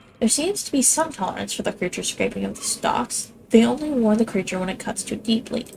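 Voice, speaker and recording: A woman's fairly high voice shows ordinary pitch variation, heard through noticeable background noise. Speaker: gaming streamer. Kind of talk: let's play commentary, reading game text aloud. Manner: stumbles over words.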